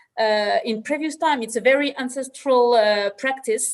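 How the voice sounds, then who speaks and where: In a very clean recording with a silent background, a woman with a French accent speaks with ordinary pitch variation. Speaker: viticulture producer. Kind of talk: panel discussion. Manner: halting.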